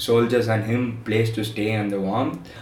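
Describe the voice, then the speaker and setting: A man talks at a moderate pace in a space with audible room echo and noticeable background noise. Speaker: podcast host. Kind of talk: casual chat.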